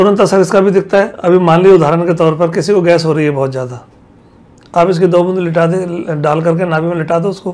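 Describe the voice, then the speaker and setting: Speaking at a moderate pace, a man with a high pitch uses fairly even intonation. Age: 80s+. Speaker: Ayurvedic healer. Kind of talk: interview.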